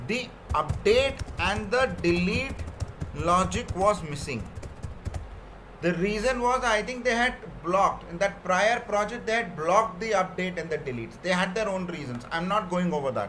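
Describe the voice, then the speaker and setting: Intonation is lively. Noticeable background noise and audible room echo are both present. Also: man, high pitch for a man, moderate pace. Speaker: software trainer. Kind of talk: technical training session.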